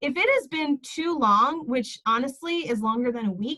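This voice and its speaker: A loud, bright, sharp tone with very wide pitch swings at a moderate pace. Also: woman. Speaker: essential oils business leader. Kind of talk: motivational group talk. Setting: video call. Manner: animated.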